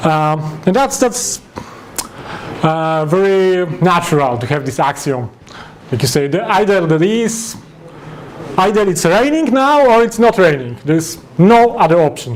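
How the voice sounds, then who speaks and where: Over noticeable background noise, a man with a Polish accent speaks fairly slowly at a high pitch, his voice swinging very widely up and down, with long, frequent pauses. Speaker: software developer. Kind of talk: lecture. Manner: halting.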